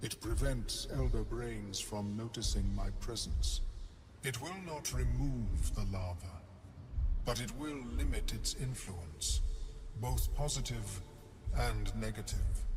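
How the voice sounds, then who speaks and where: A put-on character voice at a fairly slow pace over clear background noise. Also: man. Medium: video game. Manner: measured, formal, scholarly.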